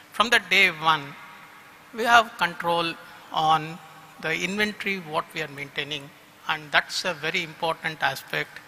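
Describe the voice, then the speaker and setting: A man with a high voice talks fairly slowly, his pitch varying in an ordinary way, while noticeable noise sounds behind him. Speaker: company executive. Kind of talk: vote of thanks speech.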